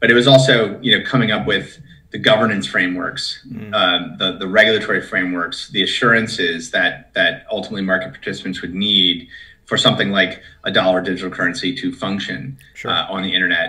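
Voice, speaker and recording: Against a quiet background, a man with an American accent talks at a very fast pace, his fairly low pitch showing ordinary variation. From US Midwest, Minnesota. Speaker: tech company executive; guest. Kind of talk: interview. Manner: halting, many fillers and repetitions. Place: home room. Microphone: video call.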